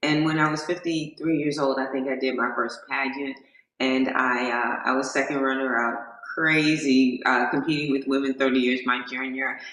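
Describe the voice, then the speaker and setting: In a room with audible echo, a woman speaks with a very deep, low pitch. Her intonation is monotone and flat, at a moderate pace. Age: 60s. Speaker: motivational speaker and pageant queen. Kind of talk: interview.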